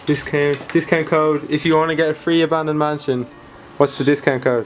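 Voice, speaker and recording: A man at a fairly quick pace, monotone and flat, with very even loudness and music in the background. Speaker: vlogger. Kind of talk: casual vlog chat.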